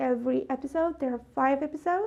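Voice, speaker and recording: A woman's high-pitched voice with a non-native accent. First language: not English. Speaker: YouTuber reviewing a TV series. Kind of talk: casual video review monologue.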